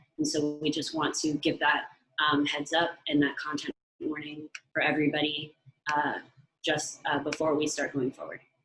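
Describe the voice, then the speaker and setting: With music in the background, a woman speaks at a moderate pace in a very deep, low, monotone voice with flat intonation. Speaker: activist speaker. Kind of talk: webinar talk. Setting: video call. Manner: hesitant, many fillers.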